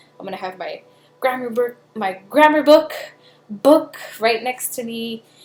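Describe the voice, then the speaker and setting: Over noticeable background noise, a woman with a high pitch and ordinary pitch variation talks at a fairly slow pace, leaving long, frequent pauses, her loudness swinging widely. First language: Spanish. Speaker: film student. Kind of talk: video blog. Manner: casual, hesitant with fillers.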